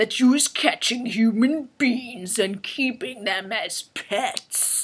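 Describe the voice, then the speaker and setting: A female-sounding, put-on character voice speaks very slowly at a high pitch. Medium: read story. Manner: mocking, bullying.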